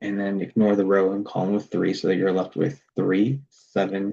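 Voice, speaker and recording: A man with an ordinary speaking voice talks at a fairly low pitch and a moderate pace. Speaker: math tutor. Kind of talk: tutorial.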